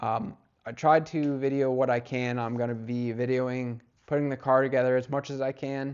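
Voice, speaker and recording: The man's voice sits at a medium pitch. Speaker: car hobbyist YouTuber. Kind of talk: casual unboxing vlog. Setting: home garage. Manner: monotone; rambling, filler words.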